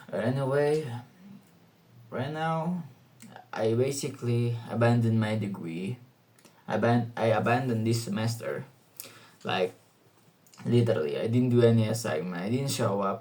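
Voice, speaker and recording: Audible room echo surrounds a man with a somewhat breathy voice and a dark, mellow tone. He talks at a moderate pace with long, frequent pauses. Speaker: student vlogger. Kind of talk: casual monologue vlog. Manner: halting, many fillers.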